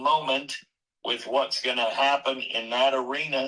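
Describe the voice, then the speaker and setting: At a fairly slow pace, a man speaks at a medium pitch with a bright, sharp tone. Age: 70s. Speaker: rodeo announcer. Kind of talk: interview answer.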